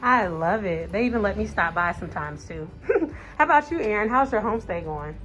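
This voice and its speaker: With an American accent, a woman talks at a very fast pace while music plays in the background. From US Midwest, Indiana. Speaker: TEFL course student. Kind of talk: vlog interview.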